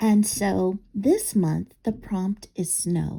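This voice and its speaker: A woman with a medium pitch speaks in a somewhat breathy voice with a dark, mellow tone. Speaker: craft video maker. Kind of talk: crafting tutorial. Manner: halting, frequent um fillers.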